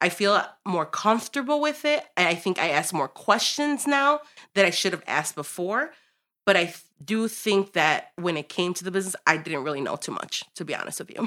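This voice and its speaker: In a Chicago accent, a woman speaks at a medium pitch with a bright, sharp tone and very wide pitch swings. The recording is very clean, the background silent. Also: moderate pace. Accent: Chicago American English. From Chicago, US Midwest. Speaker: restaurant co-owner. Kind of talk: interview.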